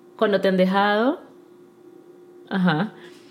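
Over noticeable background noise, a woman talks at a fairly slow pace in a fairly high pitch. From Ecuador. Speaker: podcast co-host. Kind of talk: casual chat. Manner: soft-spoken.

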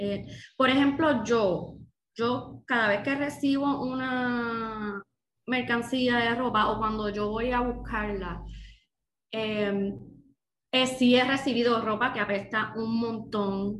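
In a room with audible echo, a woman speaks very slowly in a fairly high pitch with fairly even intonation. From Puerto Rico, Dorado area (Bo. Bonito). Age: 30s. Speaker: second-hand clothing business owner. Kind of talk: casual interview.

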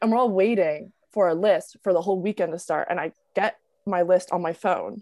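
A woman's voice with ordinary pitch variation, against a quiet background. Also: dry, close sound with no echo. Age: 20s. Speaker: TikTok creator and college student. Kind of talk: casual interview chat. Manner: casual, filler-heavy.

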